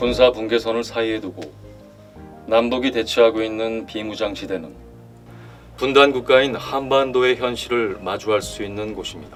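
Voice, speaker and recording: A man is speaking. Music plays in the background. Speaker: actor. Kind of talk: documentary narration. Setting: studio.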